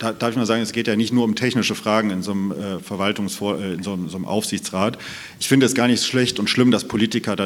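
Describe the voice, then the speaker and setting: There is noticeable background noise behind a man's fairly low voice. He speaks at a fairly quick pace with ordinary pitch variation. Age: 30s. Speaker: mayoral candidate, state parliament member. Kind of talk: panel debate. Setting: stage with live stream.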